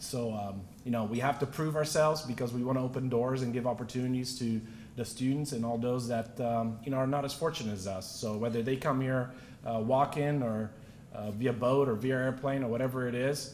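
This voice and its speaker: A man with a medium-pitched voice talks at a fairly quick pace with fairly even intonation, and audible room echo surrounds him. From Naples, Italy, then Texas from age 13. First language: Italian. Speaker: real estate entrepreneur, award recipient. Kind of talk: acceptance speech.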